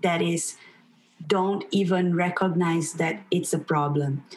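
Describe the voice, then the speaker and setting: A woman with a Portuguese accent speaks at a fairly slow pace. Her pitch is medium, with ordinary pitch variation. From Brazil. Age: young. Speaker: teacher. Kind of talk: interview.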